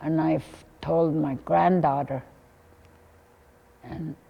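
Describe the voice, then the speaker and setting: With an interior British Columbia accent, a woman speaks in a very deep, low voice with ordinary pitch variation. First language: Shuswap. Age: old. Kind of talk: documentary interview answer.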